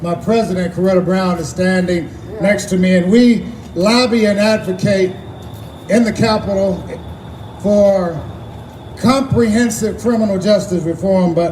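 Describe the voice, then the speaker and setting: A man's high voice at a moderate pace, fairly even in intonation, with audible room echo and noticeable background noise. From Texas, Austin. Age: 60s. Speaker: activist. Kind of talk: rally speech. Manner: impassioned.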